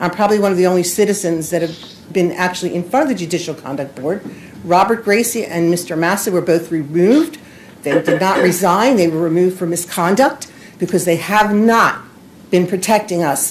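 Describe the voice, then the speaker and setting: Talking at a fairly quick pace through noticeable background noise, a woman with a fairly low pitch uses ordinary pitch variation. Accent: American. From Pennsylvania, Montgomery County area. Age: 60s. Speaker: citizen speaking at public meeting. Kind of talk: public comment at county meeting. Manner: animated, confrontational.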